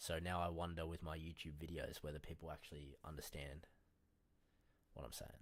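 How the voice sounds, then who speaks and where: A man speaks with a very deep, low pitch in a monotone, flat way. He talks at a fairly quick pace but leaves long, frequent pauses. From Australia. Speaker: day trader streaming live trades. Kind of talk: casual live stream chat while trading. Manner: casual, slangy, not especially clear.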